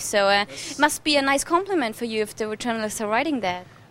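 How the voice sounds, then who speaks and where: A woman with a German accent talks at a fairly quick pace with lively intonation. Noticeable background noise sits behind her. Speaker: TV presenter. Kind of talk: TV interview. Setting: TV show location in Mallorca.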